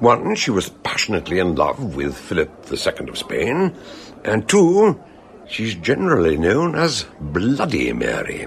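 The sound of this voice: A man's put-on character voice, low-pitched with vocal fry, very wide pitch swings, a fairly slow pace and faint background noise.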